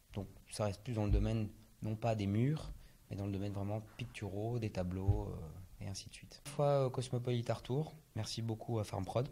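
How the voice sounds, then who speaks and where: Somewhat breathy and dark, mellow in tone, a man speaks at a fairly low pitch. His pace is moderate and his pitch variation ordinary. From France, Brittany (Morbihan). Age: 30s. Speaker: street artist. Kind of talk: interview. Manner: hesitant, many fillers.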